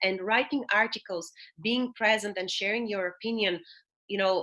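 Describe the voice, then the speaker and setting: A woman with a non-native accent speaks at a moderate pace. Her medium-pitched voice has a bright, sharp tone. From Bulgaria. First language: not English. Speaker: HR and remote work consultant. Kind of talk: podcast interview.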